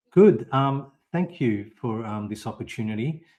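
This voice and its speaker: An Australian accent comes through as a man speaks at a moderate pace. His voice is medium in pitch. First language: Italian. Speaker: podcast guest. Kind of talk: interview. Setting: live audio stream. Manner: halting.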